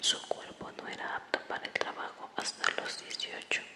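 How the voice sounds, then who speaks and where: The whisper unfolds fairly slowly, with noticeable noise in the background. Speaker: ASMR creator. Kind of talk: read story. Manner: whispered.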